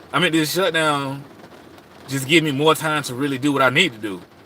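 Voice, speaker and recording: Over noticeable background noise, a man with an American accent talks at a fairly quick pace in a relaxed tone. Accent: Southern US accent, per others. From South Carolina, rural US South. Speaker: astrology advice livestreamer. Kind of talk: casual livestream chat. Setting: live stream from home. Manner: relaxed, conversational with fillers.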